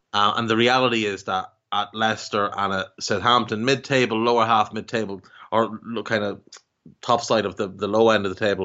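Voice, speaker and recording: With an Irish accent, a man talks at a fairly quick pace in a fairly low voice. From Ireland. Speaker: football podcaster. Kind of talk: casual chat.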